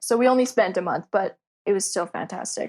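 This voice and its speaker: A woman with a Canadian accent uses an ordinary speaking voice, fairly high in pitch, at a fairly quick pace with ordinary pitch variation. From Canada. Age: 20s. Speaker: podcast guest, traveler. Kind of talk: casual chat.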